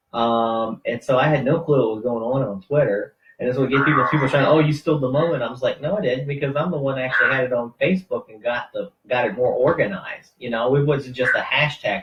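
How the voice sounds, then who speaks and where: The man talks at a fairly quick pace with a fairly high pitch. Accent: Southern US. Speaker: political radio host and activist. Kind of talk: casual interview chat. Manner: animated.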